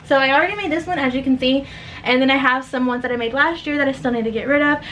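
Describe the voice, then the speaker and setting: This woman's voice sits high in pitch. Background noise is clearly noticeable. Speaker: small business owner and vlogger. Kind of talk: casual vlog talk to camera. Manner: fast; chatty, rambling.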